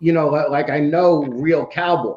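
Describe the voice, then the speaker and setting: A man with a high pitch talks in a New York accent. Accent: New York accent, back for good. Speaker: reptile podcast host. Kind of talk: casual chat. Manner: loud.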